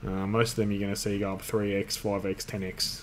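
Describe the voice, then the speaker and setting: At a moderate pace, a man talks at a fairly low pitch over light background noise. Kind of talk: tutorial. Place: home room. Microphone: webcam.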